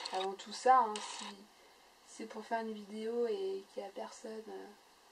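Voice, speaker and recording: A woman's monotone, flat delivery with big swings in loudness over noticeable background noise. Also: moderate pace. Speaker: scrapbooking YouTuber. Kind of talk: casual chat. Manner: halting, many fillers.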